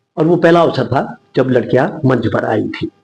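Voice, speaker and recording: Music can be heard in the background. Over it, a man talks at a moderate speed. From Uttarakhand, Garhwal (Guptkashi, Mandakini valley). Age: 60s. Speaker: writer, theatre artist and retired teacher. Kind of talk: interview.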